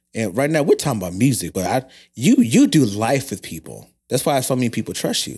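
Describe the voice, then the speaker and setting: A man's medium-pitched voice with a dark, mellow tone and vocal fry, lively intonation, a fairly quick pace, and a very clean recording with a silent background. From St. Louis, Missouri. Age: 30s. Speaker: podcast host. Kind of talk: podcast interview. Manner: excitable.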